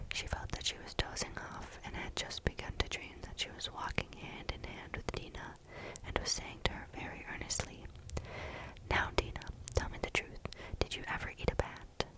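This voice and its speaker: Whispering over noticeable background noise. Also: moderate pace. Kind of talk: storybook reading. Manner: soft-spoken.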